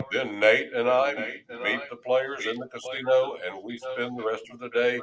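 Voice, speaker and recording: The man's pitch sits at a medium level. He talks at a fairly slow pace. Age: 70s. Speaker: dice control instructor. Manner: casual, hesitant with fillers.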